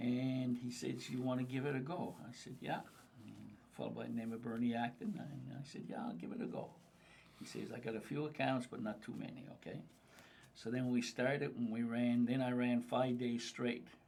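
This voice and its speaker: Heard with audible room echo, a man speaks with fairly even intonation. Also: medium pitch for a man, moderate pace. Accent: Cape Breton. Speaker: freight business owner. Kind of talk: casual chat. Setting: group conversation over lunch.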